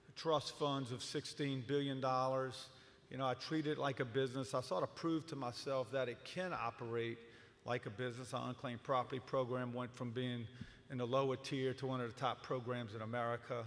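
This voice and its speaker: With fairly even intonation, a man speaks in a normal speaking voice at a medium pitch. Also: fairly quick pace. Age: 60s. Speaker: politician. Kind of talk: political forum speech. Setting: stage with audience.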